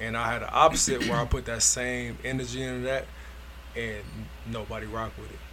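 The recording has audible room echo and noticeable background noise, with long, frequent pauses and big swings in loudness. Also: man, fairly quick pace. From Northeast Ohio. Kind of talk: casual chat.

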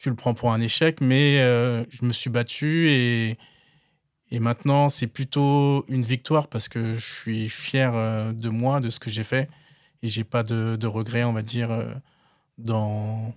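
A man at a very slow pace with fairly even intonation, dry and close with no echo, on a very clean recording with a silent background. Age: 30s. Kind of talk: interview testimony. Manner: hesitant, with fillers and repetitions.

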